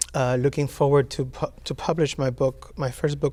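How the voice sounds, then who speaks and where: A Spanish accent marks this voice. It moves at a fairly slow pace. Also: man. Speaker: poet. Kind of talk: interview. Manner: halting, many fillers.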